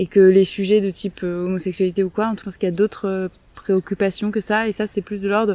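A woman talks at a fairly quick pace and medium pitch, her intonation monotone and flat, with big swings in loudness. The sound is dry and close with no echo, and her tone is dark and mellow. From southern France, Marseille. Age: 30s. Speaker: sheep farm association member. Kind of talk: interview. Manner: hesitant.

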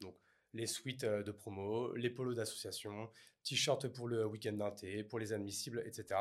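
A man's medium-pitched voice at a fairly slow pace, with monotone, flat intonation. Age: 30s. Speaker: entrepreneur. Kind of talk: interview.

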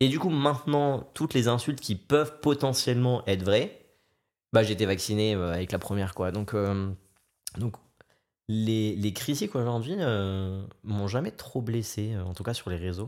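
A man speaks at a fairly slow pace in a medium pitch, with lively intonation broken by long, frequent pauses. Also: very clean recording, silent background. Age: 20s. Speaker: content creator. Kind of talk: casual chat.

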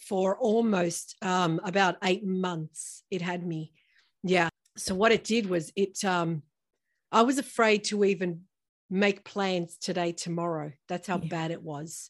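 A woman of medium pitch speaks in an unremarkable speaking voice at a fairly slow pace with fairly even intonation. The recording is very clean, with a silent background. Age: 50s. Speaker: breast cancer survivor and entrepreneur. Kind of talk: interview testimony.

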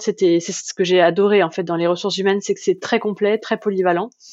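A woman at medium pitch speaks in a monotone, flat intonation. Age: 30s. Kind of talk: casual interview testimony. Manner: hesitant, many filler sounds.

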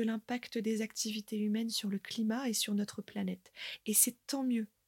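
A woman speaks at a moderate pace and a fairly high pitch, somewhat breathy, with a calm tone and fairly even intonation. The sound is dry and close, with no echo. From northern France, Côte d'Opale. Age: 30s. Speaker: podcast host and nature guide. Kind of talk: scripted narration.

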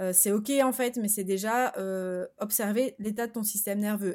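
This woman's medium-pitched voice moves at a moderate speed, its pitch shifting in an ordinary way. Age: 30s. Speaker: wellness coach and podcast host. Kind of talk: solo podcast monologue. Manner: hesitant, many fillers.

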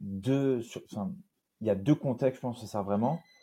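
A man's dark, mellow voice at medium pitch, with ordinary pitch variation, on a very clean recording with a silent background. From southern France (Nîmes). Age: 20s. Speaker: entrepreneur, agency founder. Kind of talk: casual interview chat.

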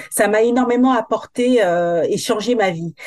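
Lively intonation marks this woman's speech. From metropolitan France, Guadeloupean family. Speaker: hair coach. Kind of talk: casual interview.

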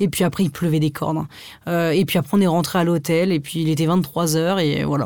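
A woman with a normal speaking voice talks at a moderate pace, her fairly low voice keeping very even loudness and fairly even intonation. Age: 20s. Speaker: fashion blogger and comedy YouTuber. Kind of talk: casual chat.

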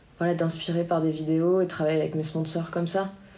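A woman's voice comes with audible room echo. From France, Biarritz. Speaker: musician and professional surfer. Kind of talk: interview. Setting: association office.

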